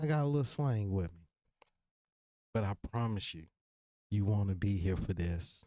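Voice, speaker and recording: Over a very clean recording with a silent background, a man with a relaxed, dark, mellow tone and fairly low pitch uses lively intonation at a moderate pace, leaving long, frequent pauses. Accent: slight Virginia. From Virginia. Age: 30s. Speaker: podcast host. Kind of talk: casual monologue. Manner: relaxed, conversational.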